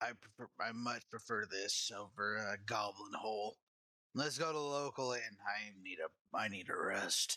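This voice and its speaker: Using a put-on character voice that is raspy, a man speaks at a moderate pace and medium pitch with ordinary pitch variation. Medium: actual play.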